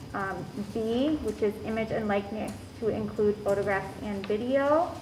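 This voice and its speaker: Over noticeable background noise, a woman speaks in a fairly high pitch. The room echo is audible. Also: ordinary pitch variation, moderate pace. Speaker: school administrator presenting policies. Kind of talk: board meeting presentation. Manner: hesitant, many fillers.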